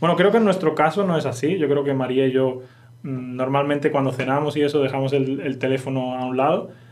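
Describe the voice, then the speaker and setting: With a Castilian accent, a man speaks at a fairly quick pace in a fairly high pitch with ordinary pitch variation, and room echo can be heard. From Spain. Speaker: Spanish teacher. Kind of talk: language lesson podcast.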